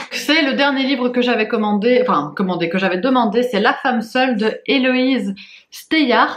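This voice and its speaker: Talking at a fairly slow pace, a woman uses a high pitch and lively intonation. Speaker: book vlogger. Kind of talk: casual vlog. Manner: hesitant, many fillers.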